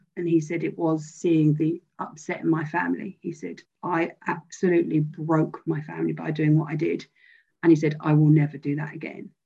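A woman's very deep, low voice with a British accent, vocal fry and a dark, mellow tone. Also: fairly even intonation, moderate pace. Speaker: bereaved friend. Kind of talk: testimony. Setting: video call.

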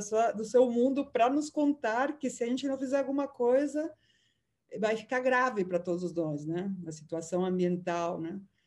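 A fairly high-pitched woman's voice with a dark, mellow tone, lively intonation and a moderate pace. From Peru. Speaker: journalist and lecturer. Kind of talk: interview answers.

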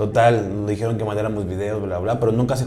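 Very fast, somewhat breathy speech with audible room echo. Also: man. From Mexico City. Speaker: American football player. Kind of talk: interview.

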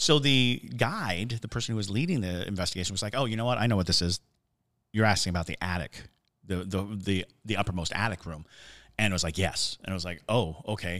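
A man's fairly low voice, very fast and animated, with ordinary pitch variation on a very clean recording with a silent background. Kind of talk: casual chat, ghost story telling. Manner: animated, jokey, storytelling.

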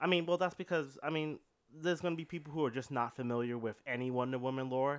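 A man talks at a very fast pace in a fairly high pitch, which shifts in an ordinary way. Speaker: podcast co-host. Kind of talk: casual movie discussion.

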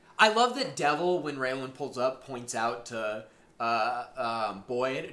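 Noticeable background noise sits behind a man speaking at a fairly slow pace. His intonation is lively. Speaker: podcast host. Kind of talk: casual chat. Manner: talkative, joking.

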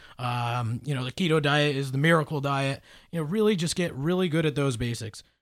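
With an American accent and a plain, everyday voice, a man talks at a fairly quick pace, his pitch fairly high and its variation ordinary. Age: 30s. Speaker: fitness and nutrition professional. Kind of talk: casual chat.

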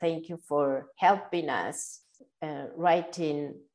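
On a very clean recording with a silent background, a woman with a Spanish accent talks at a very slow pace and a fairly low pitch. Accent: Spanish-speaking accent in English. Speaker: podcast host. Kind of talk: interview. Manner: halting.

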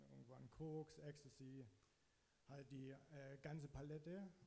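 In a room with audible echo, a man with a medium pitch speaks at a fairly slow pace in a somewhat breathy voice with a dark, mellow tone. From eastern Saxony, Germany (Zittau Mountains). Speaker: church member giving testimony. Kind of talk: testimony. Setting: church stage, sharing a microphone.

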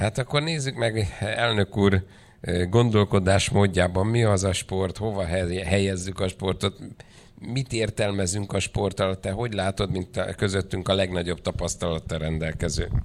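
This man has an unremarkable speaking voice with fairly low pitch and ordinary pitch variation. He speaks at a fairly slow pace in a very clean recording with a silent background. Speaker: panel chair and moderator. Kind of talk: formal conference moderating. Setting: conference hall.

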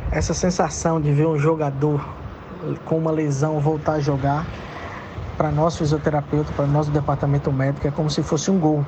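Noticeable background noise sits under a monotone, flat voice at very even loudness. The pace is fairly quick, broken by long, frequent pauses. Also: man, fairly high pitch for a man. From Brazil, Minas Gerais (Belo Horizonte). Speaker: football club physiotherapist. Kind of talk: interview.

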